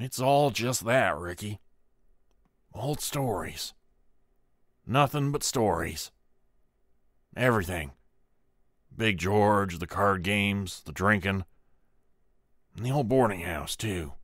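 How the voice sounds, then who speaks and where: A man puts on a raspy character voice at a fairly low pitch, with lively intonation. He goes at a fairly slow pace, with long, frequent pauses. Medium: read story. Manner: slow, dismissive.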